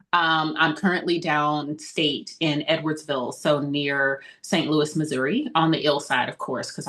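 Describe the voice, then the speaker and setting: Fairly even intonation in a woman's very deep, low-pitched voice. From Mississippi. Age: 50s. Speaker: political candidate. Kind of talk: podcast interview.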